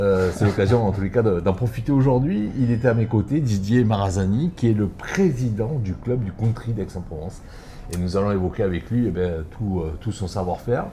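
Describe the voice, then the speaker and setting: A man talks at a moderate pace with a fairly low pitch. Noticeable background noise runs underneath. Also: ordinary pitch variation. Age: 60s. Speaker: show host. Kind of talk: casual interview.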